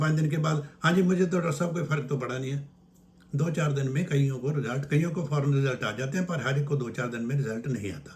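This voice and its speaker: His pitch shifts in an ordinary manner. The man's voice is somewhat breathy. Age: 80s+. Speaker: naturopath. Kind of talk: health advice talk. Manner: informal, conversational.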